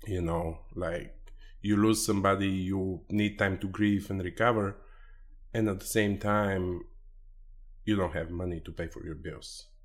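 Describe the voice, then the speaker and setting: A man with a Bulgarian accent speaks at a fairly low pitch in a flat monotone. His pace is fairly slow, with long, frequent pauses. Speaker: life insurance agent. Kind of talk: interview.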